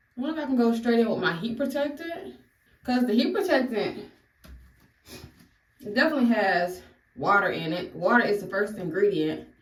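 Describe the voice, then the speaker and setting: A woman speaks fairly quickly at a fairly high pitch, with very wide pitch swings and long, frequent pauses. Audible room echo surrounds her voice. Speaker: beauty vlogger. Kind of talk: hair tutorial. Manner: casual, chatty.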